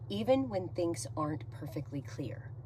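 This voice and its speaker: Heard with audible room echo, a woman with a very deep, low pitch speaks with lively intonation. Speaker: real estate agent. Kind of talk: talking-head monologue. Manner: loud; energetic.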